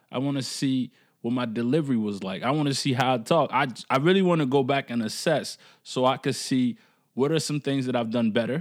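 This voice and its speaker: At a fairly quick pace, an ordinary speaking voice shows ordinary pitch variation. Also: man, medium pitch for a man, very clean recording, silent background. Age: 20s. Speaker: podcast host. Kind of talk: solo podcast monologue. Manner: casual, slang-heavy.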